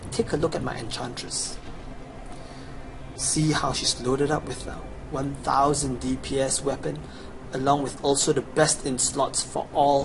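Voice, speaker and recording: With a Chinese accent, the speaker leaves long, frequent pauses over noticeable background noise. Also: man, fairly high pitch for a man, moderate pace. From China. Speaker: gamer, video game guide seller. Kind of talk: gameplay tutorial with sales pitch. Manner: casual, enthusiastic.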